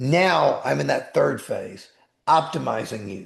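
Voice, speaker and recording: A man is speaking. His pace is fairly slow. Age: 60s. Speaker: attorney and life coach. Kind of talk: podcast interview. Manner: animated.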